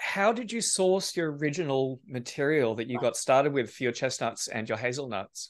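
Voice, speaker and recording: This man talks in a fairly high register, his pitch rising and falling in very wide swings. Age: 40s. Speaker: podcast host and plant breeder. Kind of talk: casual interview.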